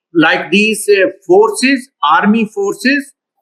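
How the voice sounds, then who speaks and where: A man talks at a very slow pace in a raised, projected voice. His tone is bright and sharp, with lively intonation. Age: 60s. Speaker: virologist and guest lecturer. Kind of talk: Q&A after a lecture. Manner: halting, many fillers.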